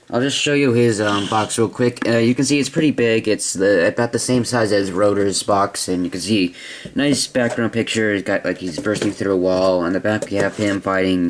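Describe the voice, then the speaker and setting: A man talks with hardly any pauses and ordinary pitch variation. Noticeable background noise sits behind him. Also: fairly low pitch for a man, moderate pace. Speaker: toy reviewer. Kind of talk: product review. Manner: hesitant, many fillers.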